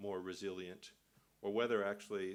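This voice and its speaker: Speaking at a fairly quick pace, a man with a fairly low pitch keeps his intonation monotone and flat. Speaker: conference speaker on financial regulation. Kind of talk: conference speech. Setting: conference with audience. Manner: halting, many fillers.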